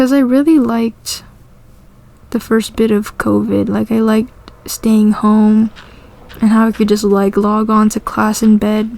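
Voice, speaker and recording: A woman's fairly high-pitched voice with a dark, mellow tone, flat monotone intonation, very even loudness, a fairly slow pace and long, frequent pauses. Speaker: gaming vlogger. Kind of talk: casual monologue over gameplay. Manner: monotone, low energy.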